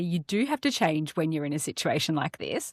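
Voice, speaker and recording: A woman with an Australian accent, fairly quick and lively in intonation, on a very clean recording with a silent background and a dry, close sound with no echo. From Australia, Melbourne. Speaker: podcast co-host. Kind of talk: casual chat.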